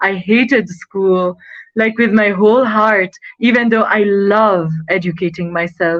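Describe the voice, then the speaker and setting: A woman's medium-pitched voice in a Nepali accent at a very slow pace. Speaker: student and model. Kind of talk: interview. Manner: animated.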